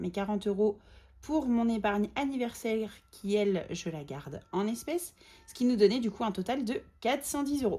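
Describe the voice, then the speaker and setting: Her tone is dark and mellow, somewhat breathy, with lively intonation. The woman moves at a fairly quick pace. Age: 30s. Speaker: budgeting vlogger. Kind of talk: casual tutorial vlog. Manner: hesitant, many fillers.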